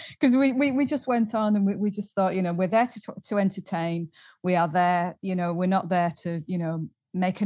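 A woman speaks in a Yorkshire accent at a moderate pace. Her tone is dark and mellow, with a fairly low pitch. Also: quiet background. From Halifax, Yorkshire. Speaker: singer. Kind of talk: casual interview.

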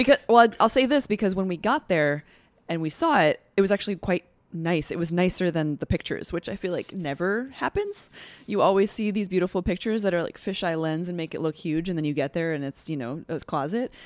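A woman with an American accent speaks at a fairly quick pace, her fairly low pitch carrying lively intonation in an ordinary speaking voice. The recording is very clean, with a silent background and a dry, close sound with no echo. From outside New York, US. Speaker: journalist. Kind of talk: casual chat.

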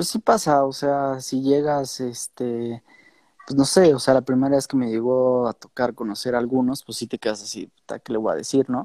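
A man speaks with a Mexican accent at medium pitch and a moderate pace. His tone is dark and mellow, his intonation fairly even, and the sound is dry and close with no echo. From Mexico. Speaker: DJ and music producer. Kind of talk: casual interview.

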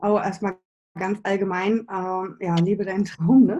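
A woman speaks in a somewhat breathy voice. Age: 40s. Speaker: business and spiritual coach. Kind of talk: interview.

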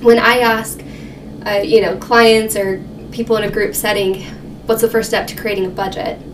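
With noticeable background noise and audible room echo, a fairly high-pitched woman speaks at a moderate pace with fairly even intonation and long, frequent pauses. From New Mexico. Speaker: financial counselor. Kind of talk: casual interview.

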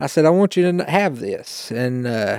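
On a very clean, dry, close recording with a silent background and no echo, a man with an American accent speaks in a normal speaking voice at a moderate pace, his pitch fairly high and his intonation lively. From East Tennessee, US. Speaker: guest, youth teacher and churchgoer. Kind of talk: testimony, casual conversation.

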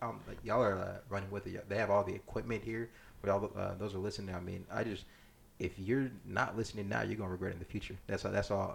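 Speaking at a very fast pace, a man sounds somewhat breathy with a fairly low pitch. His intonation is monotone and flat. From South Sudan, raised in US. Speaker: entrepreneur. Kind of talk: casual chat.

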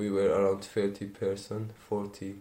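A man with an Arabic accent speaks at a very slow pace. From Syria, Aleppo. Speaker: refugee. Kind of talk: interview testimony.

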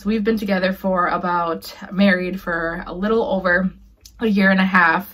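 Speaking at a moderate pace with an American accent, a woman uses a normal speaking voice of medium pitch and fairly even intonation. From Minneapolis, Minnesota. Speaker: podcast team member, video editor. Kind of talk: casual self-introduction.

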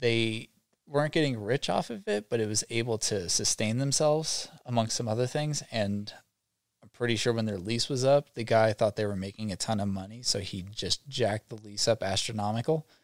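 With an American accent, a man speaks at a moderate pace and medium pitch in an unremarkable speaking voice, with ordinary pitch variation, on a very clean recording with a silent background and a dry, close sound with no echo. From US Northeast (New York state and southern Vermont). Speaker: former pro snowboarder, welder. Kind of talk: casual chat. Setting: studio.

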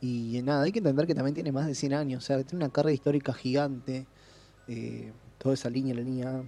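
Speaking at a very fast pace, a man with a medium pitch and fairly even intonation has a dark, mellow tone. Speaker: podcast co-host. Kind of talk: casual chat.

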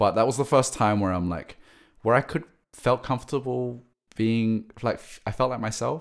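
A man speaks with an Australian accent. His pace is moderate. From Australia (Sydney). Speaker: creative director and music manager. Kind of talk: casual interview chat.

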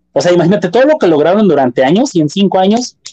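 A man with a Mexican accent, high-pitched yet dark and mellow in tone, with very wide pitch swings and a dry, close sound with no echo. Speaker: podcast co-host. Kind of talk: casual chat.

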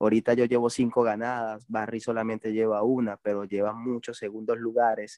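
Over a quiet background, a man talks at a fairly quick pace and medium pitch. His tone is dark and mellow, his intonation flat and monotone. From Venezuela. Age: 30s. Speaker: BMX racer. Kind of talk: casual interview.

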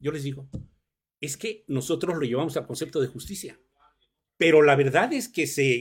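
At a moderate pace, a man talks in a normal speaking voice at a fairly high pitch. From Mexico, Morelos. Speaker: law professor. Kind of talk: radio interview. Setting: radio studio.

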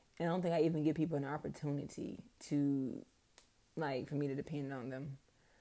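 Her tone dark and mellow, a woman with a very deep, low pitch speaks at a very fast pace in a monotone, flat intonation. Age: 30s. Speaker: podcast host. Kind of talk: personal monologue. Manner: casual, hesitant with many ums.

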